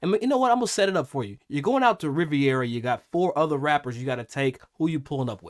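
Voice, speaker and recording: Talking at a very fast pace with hardly any pauses, a man with a fairly high pitch makes very wide pitch swings, and the sound is dry and close with no echo. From Kentucky. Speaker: podcast host, former pro golfer. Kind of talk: casual chat.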